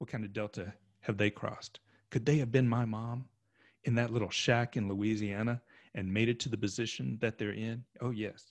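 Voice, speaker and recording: In a plain, everyday voice, a man with an American accent speaks at a moderate pace and medium pitch. His intonation is fairly even, the sound dry and close with no echo over a quiet background. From Oklahoma. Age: 50s. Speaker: sociologist. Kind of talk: casual chat.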